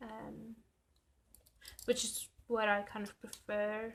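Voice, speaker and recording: A woman with a South African accent talks at a very slow pace. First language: Afrikaans. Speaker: planner YouTuber. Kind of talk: casual chat. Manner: loud.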